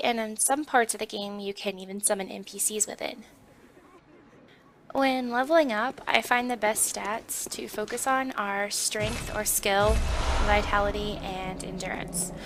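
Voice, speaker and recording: Over noticeable background noise, a woman speaks at a fairly high pitch and fairly slow pace, with ordinary pitch variation and big swings in loudness. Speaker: gaming walkthrough narrator. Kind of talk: game tutorial voiceover.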